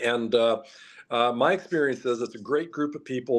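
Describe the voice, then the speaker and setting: A man talks in a plain, everyday voice at a medium pitch, keeping a fairly quick pace and fairly even intonation. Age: 60s. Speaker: political candidate. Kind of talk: interview.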